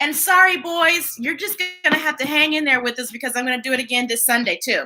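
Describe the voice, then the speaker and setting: A woman's very fast, animated, raised and projected voice, high in pitch with ordinary pitch variation, over music in the background. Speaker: children's story time host. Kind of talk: live read-aloud stream chat. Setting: live online stream.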